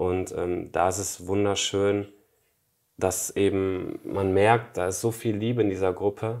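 Against a quiet background, a man speaks very slowly in a fairly low, monotone, flat voice. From western Germany, Emmerich on the Rhine (Lower Rhine); western Germany. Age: 20s. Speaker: spiritual author; interview guest. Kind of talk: interview conversation. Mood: calm, reflective. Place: home room. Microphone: lapel.

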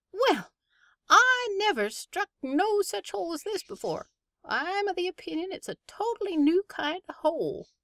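A woman's put-on character voice at an extremely high pitch, in a rural American West accent, at a moderate pace. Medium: read story. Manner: chatty, folksy, growing exasperated.

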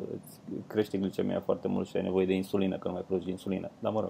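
A man speaks very fast in a very deep, low voice with a dark, mellow tone over light background noise. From Romania. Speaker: comedian, podcast co-host. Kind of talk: casual chat. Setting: remote call, at home, wearing headphones. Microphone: video call.

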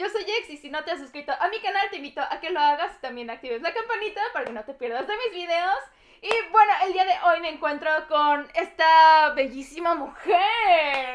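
A woman with a Mexican accent speaks at a moderate pace in an extremely high pitch, her lively intonation paired with big swings in loudness against a quiet background. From Mexico. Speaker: YouTuber. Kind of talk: casual interview. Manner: animated. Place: home room. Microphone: lapel.

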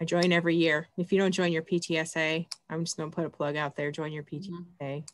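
Speaking in a monotone with flat intonation, a woman with an American accent talks at a moderate pace and a fairly low pitch over a quiet background. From Michigan. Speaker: school librarian; host of group talk. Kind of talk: casual chat. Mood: warm, chatty. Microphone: video call.

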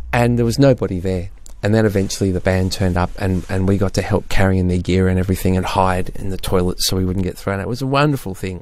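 A very fast pace with hardly any pauses, ordinary pitch variation, and an Australian accent. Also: man. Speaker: podcast co-host discussing music. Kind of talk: casual chat.

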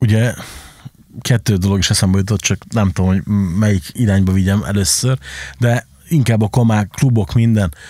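A man's fairly low voice at a fairly quick pace, with dry, echo-free sound and a quiet background. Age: 30s. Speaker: podcast host, club and record shop owner; podcast host. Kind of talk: casual chat. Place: studio. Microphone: studio mic.

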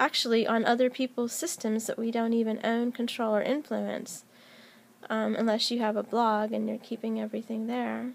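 The woman's pitch is fairly high and her intonation monotone and flat. She talks at a moderate pace. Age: 40s. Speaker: YouTuber and technology professional; YouTuber. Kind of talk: casual vlog monologue. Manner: hesitant with many fillers. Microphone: phone near.

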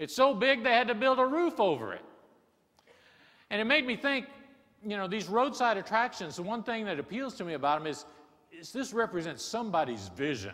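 A man with a high pitch and a bright, sharp tone talks at a fairly quick pace, with very wide pitch swings, big swings in loudness and long, frequent pauses. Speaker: keynote speaker. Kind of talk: keynote speech. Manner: humorous storytelling. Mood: humorous, warm storytelling. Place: stage. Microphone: lapel.

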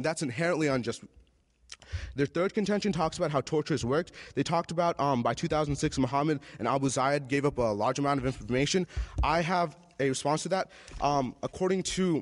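A man at a fairly quick pace, with ordinary pitch variation and very even loudness. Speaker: debater. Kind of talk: debate rebuttal speech. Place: stage. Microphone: podium.

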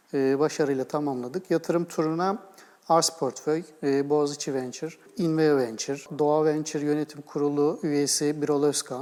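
A man talks at a moderate pace with fairly even intonation. His fairly high voice has a dark, mellow tone. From Istanbul, Turkey. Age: 40s. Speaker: game studio co-founder and executive. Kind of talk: TV interview.

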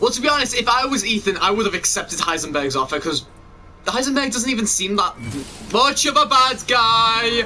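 A man shouting at an extremely high pitch with an English accent, lively intonation, a fairly quick pace and noticeable background noise. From England. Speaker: gaming YouTuber. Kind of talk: let's play commentary. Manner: animated.

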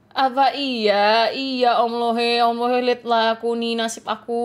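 In a very clean recording with a silent background, a woman speaks at a moderate pace in a high pitch with monotone, flat intonation. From Aceh, Indonesia. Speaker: gaming streamer. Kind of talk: live game stream commentary. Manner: casual, chatty.

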